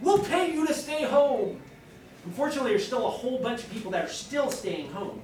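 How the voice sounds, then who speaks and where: A man speaks at a fairly quick pace, his pitch swinging very widely. Room echo is audible. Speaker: vocational school representative. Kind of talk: school presentation to students. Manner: fast; casual, conversational.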